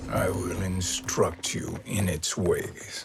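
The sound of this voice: A man in a put-on character voice talks slowly at a low pitch with vocal fry and fairly even intonation, with clear background noise behind him.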